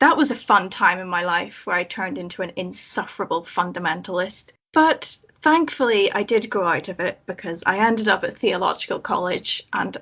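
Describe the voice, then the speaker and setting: With a Northern Irish accent, a woman talks at a fairly quick pace with hardly any pauses, her medium-pitched voice bright and sharp in tone and her intonation lively. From Northern Ireland, Belfast. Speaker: former believer, chaplaincy guest. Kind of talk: casual chat.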